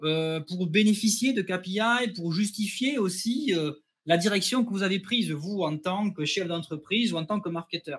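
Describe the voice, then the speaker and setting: With a southwestern French accent, a man speaks at a high pitch with ordinary pitch variation. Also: moderate pace. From southwest France, near Toulouse. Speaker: customer success manager, webinar host. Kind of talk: webinar presentation. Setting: online webinar.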